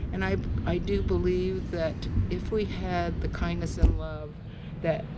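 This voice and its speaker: A woman with an American accent at a moderate pace, with noticeable background noise and audible room echo. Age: 70s. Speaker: march organizer and camp counselor. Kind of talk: speech at a rally.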